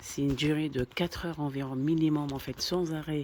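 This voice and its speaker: A soft-spoken man talks at a fairly slow pace, his pitch fairly high and his intonation fairly even. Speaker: family vlogger. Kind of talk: vlog narration.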